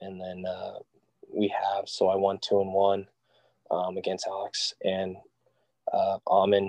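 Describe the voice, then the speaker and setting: A man with an American accent speaks at a fairly slow pace in a dark, mellow tone, his fairly low voice monotone and flat. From California, Central Valley. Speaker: college golfer. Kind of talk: casual interview.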